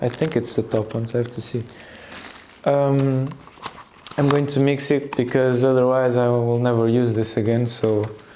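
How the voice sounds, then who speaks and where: A man with a Portuguese accent, flat and monotone, with long, frequent pauses and noticeable background noise. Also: medium pitch for a man, moderate pace. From Portugal. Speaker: youtuber, guitarist. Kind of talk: casual vlog monologue. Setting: at home, filming while changing guitar strings. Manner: hesitant, many fillers.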